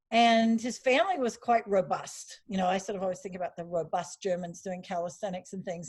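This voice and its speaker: A somewhat breathy woman at a fairly quick pace, her intonation fairly even. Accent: slight Australian. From Australia. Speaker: Pilates teacher. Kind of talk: interview.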